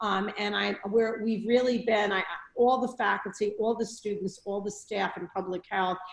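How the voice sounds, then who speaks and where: In a New York accent, a woman speaks at a moderate pace. Her pitch is medium and her intonation monotone and flat. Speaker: public health school dean. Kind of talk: online talk to alumni.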